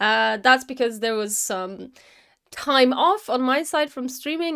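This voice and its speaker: A woman's high-pitched voice at a fairly slow pace, in a very clean recording with a silent background. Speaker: motion designer and animation streamer. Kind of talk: live-stream work commentary. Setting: live stream. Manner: loud; halting.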